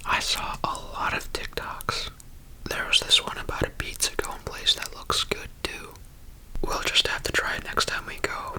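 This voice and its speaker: A whispering voice comes through noticeable background noise. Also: moderate pace. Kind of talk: ASMR travel vlog narration. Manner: whispered.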